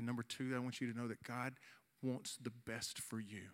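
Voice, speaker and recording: A man talks at a fairly quick clip, his pitch sitting in the medium range. His delivery is monotone and flat, captured in a very clean recording against a silent background. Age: 40s. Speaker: youth pastor. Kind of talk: youth service sermon with altar call. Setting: church youth service with audience. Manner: earnest, urgent appeal, repeating phrases as he builds to the invitation.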